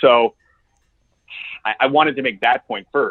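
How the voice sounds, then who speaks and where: A man with an American accent keeps to a moderate pace. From United States. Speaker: executive coach. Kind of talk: podcast interview.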